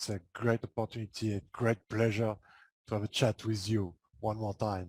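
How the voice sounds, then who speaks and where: Speaking with a French accent, a man keeps a moderate pace in a dry, close recording with no echo. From France. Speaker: transformation coach. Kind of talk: podcast interview.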